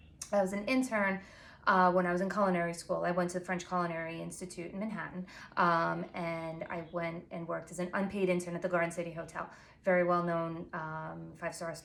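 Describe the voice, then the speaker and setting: A woman with a Long Island accent and fairly low pitch talks at a very fast pace amid audible room echo. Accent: Long Island New York. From Long Island, New York. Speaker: pastry chef and baking blogger. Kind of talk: tutorial. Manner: casual, filler-heavy.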